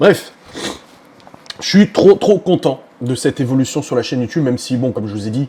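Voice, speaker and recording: A man's medium-pitched voice at a fairly quick pace, with lively intonation and noticeable background noise. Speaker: vlogger. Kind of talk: casual vlog talk to camera. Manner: loud.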